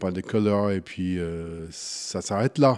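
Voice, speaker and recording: A man talks in an English accent at a fairly slow pace. His tone is dark and mellow. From US Midwest, Wichita, Kansas. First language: English (speaking French). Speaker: craft brewer. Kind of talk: interview. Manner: halting.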